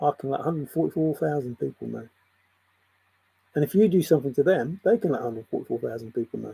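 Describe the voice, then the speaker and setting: A man with an English accent speaks very fast in a fairly high, dark and mellow, somewhat breathy voice, his lively intonation broken by long, frequent pauses. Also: dry, close sound with no echo. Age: 60s. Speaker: spiritual video blogger. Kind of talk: spiritual monologue.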